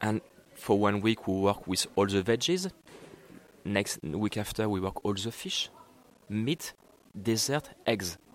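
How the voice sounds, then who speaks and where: A French accent, ordinary pitch variation, and a fairly slow pace with long, frequent pauses. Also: man, fairly low pitch for a man. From France. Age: 30s. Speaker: executive chef at cooking school. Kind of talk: interview. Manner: halting.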